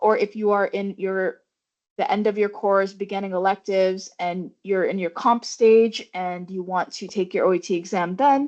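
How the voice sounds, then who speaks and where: Against a quiet background, a woman talks at a moderate pace and medium pitch with fairly even intonation. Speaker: medical student presenter. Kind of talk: informational presentation. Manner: mumbling at times.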